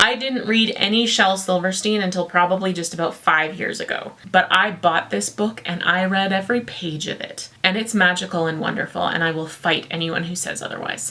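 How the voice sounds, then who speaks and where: Amid noticeable background noise, a woman speaks at a moderate pace and medium pitch with ordinary pitch variation. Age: adult. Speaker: poetry channel host. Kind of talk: casual vlog with poetry reading. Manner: animated.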